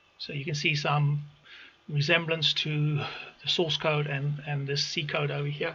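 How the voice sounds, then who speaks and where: The speaker is a man. His pitch is fairly high. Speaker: automation engineer. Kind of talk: tutorial. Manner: halting.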